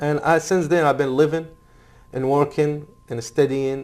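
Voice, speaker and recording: Speaking with an Arabic accent, a man keeps a fairly even intonation at a fairly high pitch. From Iraq. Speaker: Iraqi refugee and former military interpreter. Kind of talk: interview. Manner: halting.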